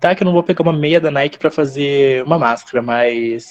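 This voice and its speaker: A man with an ordinary speaking voice talks at a fairly high pitch with ordinary pitch variation, recorded dry and close with no echo. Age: 20s. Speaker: journalism student. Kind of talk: casual chat.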